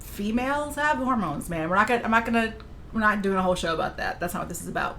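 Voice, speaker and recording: There is audible room echo. A woman speaks over noticeable background noise. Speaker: streamer. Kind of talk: casual chat. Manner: animated.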